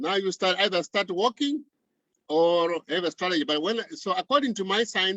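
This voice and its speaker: A man with a high pitch talks at a moderate speed, his intonation lively. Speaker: motivational speaker, professor. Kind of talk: lecture.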